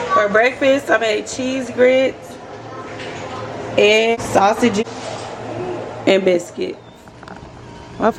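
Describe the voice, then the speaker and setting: Music plays in the background as a woman talks very slowly. Her pitch is fairly high, with ordinary pitch variation. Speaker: vlogger. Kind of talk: casual vlog.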